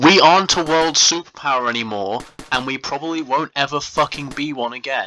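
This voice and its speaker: Music plays in the background as a voice with a British accent moves at a fairly quick pace. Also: man. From England. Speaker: gaming YouTuber. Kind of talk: casual rant over gameplay. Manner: animated.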